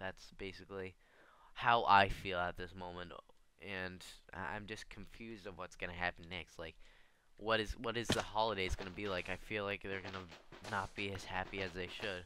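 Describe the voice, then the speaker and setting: A man with an American accent speaks at a very deep, low pitch in a monotone with flat intonation. His tone is bright and sharp, with long, frequent pauses. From Connecticut, US. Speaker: gaming YouTuber. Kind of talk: personal vlog monologue. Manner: halting, stuttering.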